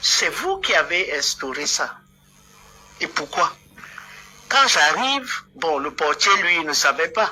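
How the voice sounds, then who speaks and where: Against noticeable background noise, a woman with a Cameroonian accent speaks very slowly with long, frequent pauses, big swings in loudness and very wide pitch swings. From southern Cameroon. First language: Bulu (speaking French). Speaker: political activist. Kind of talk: heated debate. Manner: animated.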